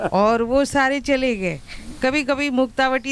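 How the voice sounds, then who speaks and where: This woman's voice is pitched high. The rise and fall of her pitch is ordinary. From Bihar, Patna. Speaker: yoga volunteer sharing health testimony. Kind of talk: testimony.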